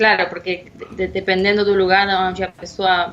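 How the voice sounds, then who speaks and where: A woman with a Spanish accent speaks at a fairly slow pace. Her pitch is medium. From Spanish-speaking country. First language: Spanish (speaking Portuguese). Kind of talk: casual chat.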